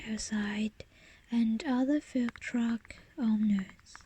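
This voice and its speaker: Her voice high-pitched and her intonation fairly even, a woman talks at a very slow pace. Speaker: ASMR creator. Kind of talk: ASMR text reading, soft reading of an English passage. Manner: whispered, soft-spoken.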